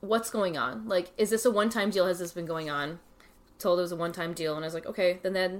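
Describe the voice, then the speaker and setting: Heard on a very clean recording with a silent background, a woman has a plain, everyday voice at a medium pitch with ordinary pitch variation. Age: 30s. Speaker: podcast guest, friend of the host. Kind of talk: casual chat.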